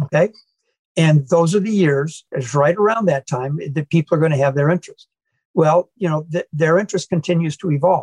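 A man with a Midwestern US accent, fairly high-pitched, at a fairly quick pace with ordinary pitch variation, in a dry, close sound with no echo. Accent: US Midwest. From Iowa, US Midwest. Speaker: former car club president, car collector. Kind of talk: podcast interview.

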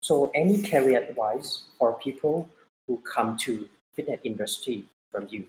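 A man with a Thai accent talks at a fairly slow pace and medium pitch. His intonation is lively and his voice somewhat breathy. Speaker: podcast host and triathlon coach. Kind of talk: interview.

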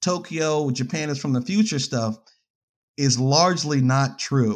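An unremarkable speaking voice from a man, fairly slow, with ordinary pitch variation, on a very clean recording with a silent background. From New York. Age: 30s. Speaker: filmmaker and photographer. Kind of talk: casual interview.

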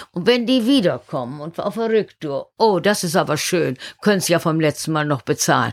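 This woman's very deep, low voice makes very wide pitch swings on a very clean recording with a silent background. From northern Germany, Oldenburg. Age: 70s. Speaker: harbour master. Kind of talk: interview. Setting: site trailer at harbour.

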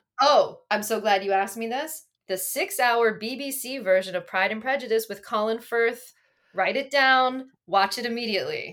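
This woman has a normal speaking voice with an American accent, a fairly high pitch, and ordinary pitch variation. She talks at a moderate pace in a very clean recording with a silent background. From Pennsylvania, Berks County. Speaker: defense engineer. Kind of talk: casual chat.

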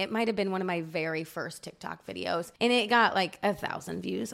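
At medium pitch, a woman talks in an American accent with ordinary pitch variation. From Indiana, US Midwest. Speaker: TikTok creator. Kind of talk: casual chat.

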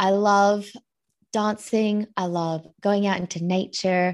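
A woman with an Australian accent and medium pitch against a quiet background. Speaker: money coach. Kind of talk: interview.

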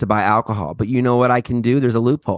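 A man with an American accent is recorded with a dry, close sound, no echo and a quiet background. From US South. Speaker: podcast co-host. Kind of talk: casual chat.

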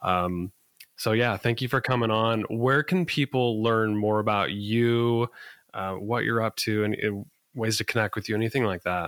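A man uses a normal speaking voice at a medium pitch and moderate pace, with ordinary pitch variation. The recording is very clean, the background silent and the sound dry and close with no echo. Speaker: podcast host. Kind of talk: casual interview.

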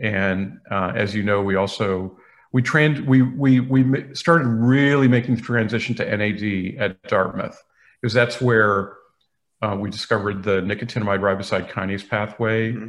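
Against a quiet background, a man talks in a normal speaking voice at a moderate pace and fairly low pitch. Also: ordinary pitch variation. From New England (Boston). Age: 50s. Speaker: biochemistry professor. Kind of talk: interview.

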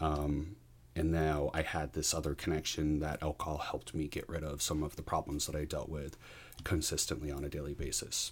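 A man with a very deep, low pitch speaks somewhat breathily at a fairly quick pace in a monotone, flat intonation. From New Hampshire, US. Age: 40s. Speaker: educator, podcast guest. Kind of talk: personal recovery story in interview. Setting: in person, host's room. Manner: hesitant, many fillers.

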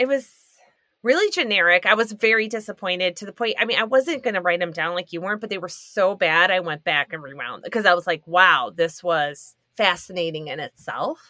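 A woman with a plain, everyday voice, her loudness swinging widely, in a dry, close recording with no echo. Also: medium pitch for a woman. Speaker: guest. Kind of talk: casual chat.

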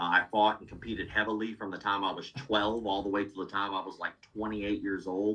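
A man's fairly low, bright, sharp voice, fairly quick and fairly even in intonation

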